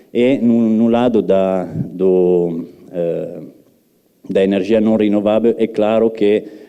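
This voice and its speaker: A man speaks with fairly low pitch. His pitch variation is ordinary. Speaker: research and development manager, guest speaker. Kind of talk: lecture. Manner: halting, many fillers.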